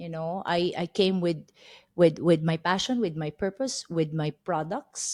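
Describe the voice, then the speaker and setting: Very slow and medium-pitched, a woman's voice with a dark, mellow tone comes across dry and close with no echo. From Philippines. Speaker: group fitness manager. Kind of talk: interview.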